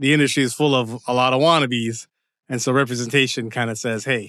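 Very clean with a silent background, the recording has a man speaking at a fairly quick pace, medium pitch and fairly even intonation in a bright, sharp tone. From Windsor, Ontario, Canada. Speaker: TV screenwriter. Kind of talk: interview. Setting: at home.

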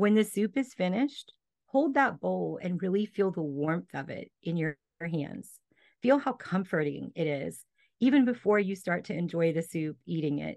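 With a calm, soothing tone, a woman at a fairly low pitch speaks at a moderate pace using very wide pitch swings over a quiet background. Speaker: business coach. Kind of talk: casual interview chat.

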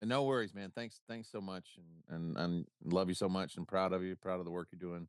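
A man with an American accent talks at a fairly quick pace. His pitch is very deep and low. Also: ordinary pitch variation. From US South, South Carolina. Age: 40s. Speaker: guest co-host. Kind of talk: casual chat. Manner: halting, repeats words.

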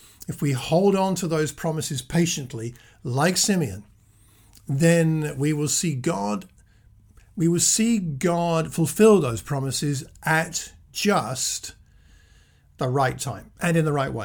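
Lively in intonation yet very slow, the speech is marked by long, frequent pauses and audible room echo. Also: man, fairly high pitch for a man. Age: 60s. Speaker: preacher. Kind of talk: sermon. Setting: self-recorded at home.

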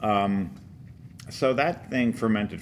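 Ordinary pitch variation in an American accent. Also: man. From New Jersey. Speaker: author. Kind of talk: interview. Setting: convention.

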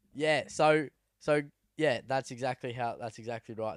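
Speaking with an Australian accent, a man keeps a medium pitch, moderate pace and fairly even intonation. The recording is very clean with a silent background, dry and close with no echo. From New South Wales, Australia (Sydney, then Cowra). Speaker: downhill mountain biker and podcast co-host. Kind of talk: casual chat.

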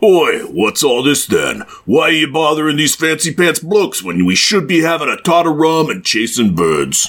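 Putting on a character voice, a man speaks fairly high at a moderate pace with hardly any pauses. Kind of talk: slangy, working-class. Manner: half-hearted, cheeky.

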